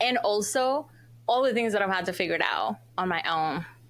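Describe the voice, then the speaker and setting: The woman's intonation is lively. She keeps a moderate pace. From El Salvador. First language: Spanish. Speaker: marriage and family therapist. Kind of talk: interview conversation.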